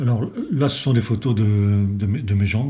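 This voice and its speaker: A man speaks in a fairly low pitch. His tone is dark and mellow, and somewhat breathy. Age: 60s. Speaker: retired special forces gendarme. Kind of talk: interview testimony. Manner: hesitant, many fillers.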